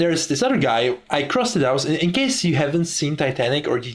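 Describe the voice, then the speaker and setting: Somewhat breathy, a man speaks at a very fast pace with a fairly high pitch and ordinary pitch variation. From Czech Republic. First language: Czech. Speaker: podcaster. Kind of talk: casual monologue. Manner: halting, frequent repetitions.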